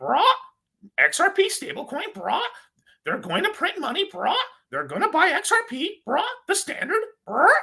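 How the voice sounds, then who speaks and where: A put-on character voice at an extremely high pitch comes with long, frequent pauses. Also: moderate pace. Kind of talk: slangy, repetitive, mocking.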